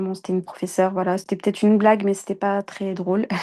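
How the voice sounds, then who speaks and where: A woman speaks at a very fast pace. Her dark, mellow tone stays monotone and flat. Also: quiet background. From France. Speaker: Quran teacher. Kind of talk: interview. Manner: halting.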